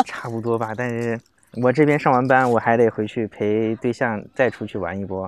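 Moderate pace and fairly even intonation from a male speaker. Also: medium pitch for a man. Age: young. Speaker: rural resort manager. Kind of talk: casual chat. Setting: outdoors.

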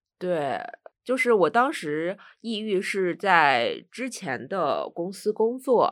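The speech comes at a very slow pace in a very clean recording with a silent background. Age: 30s. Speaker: podcast guest sharing experience of depression. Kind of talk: casual chat.

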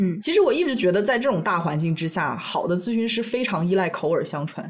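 Her voice somewhat breathy, a woman with a medium pitch talks at a fairly quick pace with lively intonation. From China. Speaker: podcast co-host. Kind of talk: casual chat.

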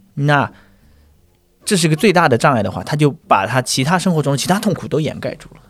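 A man with fairly high pitch and lively intonation, a very fast pace, long and frequent pauses, and big swings in loudness. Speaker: stand-up comedian. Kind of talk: casual chat.

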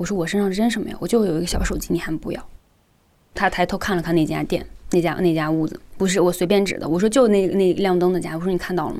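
A woman's very fast speech, dark and mellow in tone, fairly low in pitch, with fairly even intonation. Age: 20s. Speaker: internet designer sharing a personal story. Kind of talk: testimony.

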